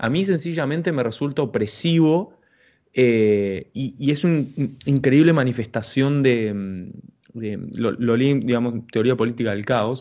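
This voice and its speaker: A man talks at a fairly slow pace, his tone dark and mellow and his pitch varying in an ordinary way. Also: medium pitch for a man. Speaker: podcast host. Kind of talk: casual interview.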